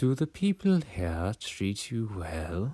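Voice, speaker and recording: Using a put-on character voice, a man speaks at a very slow pace and a fairly low pitch, captured on a very clean recording with a silent background. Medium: read story. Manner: smarmy, mysterious.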